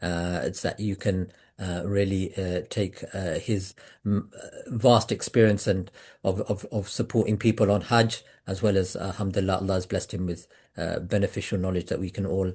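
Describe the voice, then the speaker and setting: A man with a British accent, somewhat breathy and flat in intonation, at a moderate pace against a quiet background. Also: fairly low pitch for a man. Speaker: webinar host for pilgrimage travel group. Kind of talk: online webinar introduction. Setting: Zoom video call. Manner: hesitant, many fillers.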